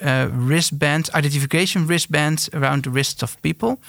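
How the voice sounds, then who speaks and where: Here a man speaks at a fairly high pitch with fairly even intonation. The sound is dry and close, with no echo. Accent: Dutch. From eastern Netherlands. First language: Dutch. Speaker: entrepreneur, company founder. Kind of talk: interview. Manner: halting.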